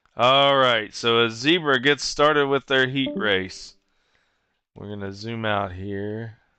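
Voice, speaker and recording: A man at a very slow pace, with big swings in loudness and ordinary pitch variation. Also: medium pitch for a man. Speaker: esports race commentator. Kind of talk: live commentary. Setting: online broadcast booth. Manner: halting.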